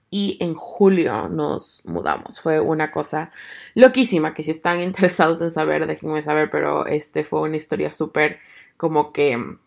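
A woman's moderately paced speech, very cleanly recorded over total silence. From Ecuador. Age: 30s. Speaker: podcaster. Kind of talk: casual monologue.

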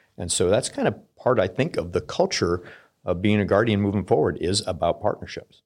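With an American accent, a man speaks fairly quickly in an unremarkable speaking voice at a fairly low pitch. His pitch varies in an ordinary way, and the recording is very clean with a silent background. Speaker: military officer. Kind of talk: interview.

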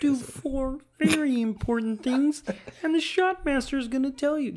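A put-on character voice, high in pitch, delivers its lines at a moderate pace. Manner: excited, announcing.

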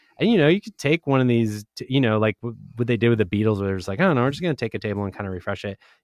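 With hardly any pauses, a man rattles along at a very fast pace. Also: medium pitch for a man, lively intonation. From Providence, Rhode Island. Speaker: podcast producer. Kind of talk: casual chat. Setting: studio.

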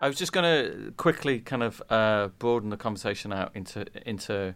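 The delivery keeps a moderate pace. Everything sounds very clean, against a silent background. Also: man. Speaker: publisher and podcast host. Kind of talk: panel discussion. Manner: halting.

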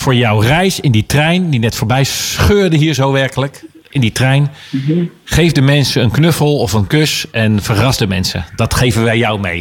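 With a slight eastern Dutch accent, the speaker talks fairly slowly with lively intonation and very even loudness, over noticeable background noise. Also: man, medium pitch for a man. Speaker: radio DJ host. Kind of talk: casual radio presenting. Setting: radio studio. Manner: halting, many fillers.

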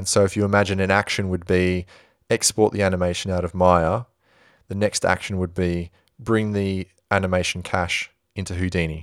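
A man with a very deep, low pitch speaks at a moderate pace in a monotone, flat intonation, with a dry, close sound with no echo on a very clean recording with a silent background. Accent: Australian. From Western Australia, Perth. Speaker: visual effects supervisor. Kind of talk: interview.

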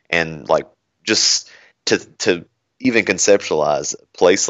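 A man speaks with a Kentucky accent. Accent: Southern US (Kentucky). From Kentucky (Bowling Green). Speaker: senior security architect. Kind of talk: casual interview chat.

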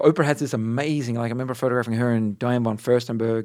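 A medium-pitched man with an Australian accent at a very fast pace. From Australia, Adelaide and Darwin. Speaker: portrait photographer. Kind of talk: casual interview chat.

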